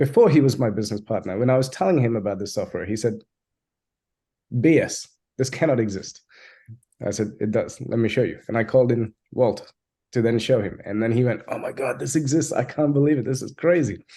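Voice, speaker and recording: This man talks at a fairly quick pace in a dark, mellow tone. His pitch varies in an ordinary way. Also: medium pitch for a man. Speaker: software agency founder. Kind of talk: webinar presentation. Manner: fast; animated.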